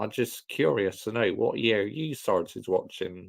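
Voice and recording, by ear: A man speaks with vocal fry at a fairly slow pace. His pitch is fairly low.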